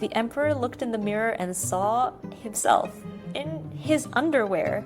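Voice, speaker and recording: Over music in the background, a woman with an American accent speaks at a moderate pace in a medium pitch, her voice making very wide pitch swings. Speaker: storyteller. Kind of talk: children's bedtime story reading.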